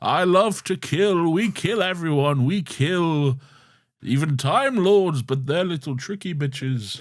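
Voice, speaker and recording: Speaking fairly slowly, a man adopts a put-on character voice with a high pitch. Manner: menacing.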